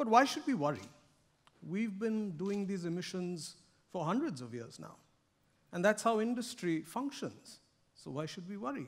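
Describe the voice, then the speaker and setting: A man with a high voice speaks very slowly, his pitch swinging very widely and his loudness in big swings, with long, frequent pauses. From India. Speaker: corporate sustainability director; conference speaker. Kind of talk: keynote speech. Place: stage.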